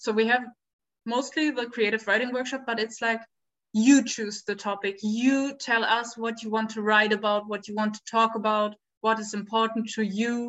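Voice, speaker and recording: Speaking with a German accent, a woman keeps a moderate pace. Her pitch is fairly high and her intonation monotone and flat. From Berlin, Germany. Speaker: volunteer at an education center. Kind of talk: casual interview chat.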